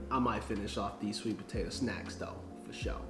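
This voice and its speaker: Clear music plays in the background while a man talks with audible room echo. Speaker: vlogger host. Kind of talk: casual vlog chat. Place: home room. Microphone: camera far.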